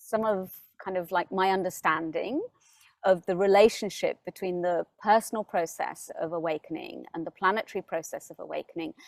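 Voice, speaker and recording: On a very clean recording with a silent background and a dry, close sound with no echo, a woman speaks at a moderate pace in a medium pitch, with ordinary pitch variation and big swings in loudness. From UK. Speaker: spiritual teacher. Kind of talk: spiritual talk to camera. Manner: hesitant, many fillers and repeats.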